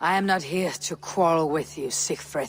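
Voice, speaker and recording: A put-on character voice sits at a middle pitch. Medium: video game. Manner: calm, dry.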